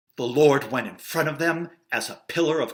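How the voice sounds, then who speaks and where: At a fairly slow pace, an unremarkable speaking voice moves through ordinary pitch variation. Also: man. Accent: American. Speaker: actor and director. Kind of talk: Bible story storytelling read for kids.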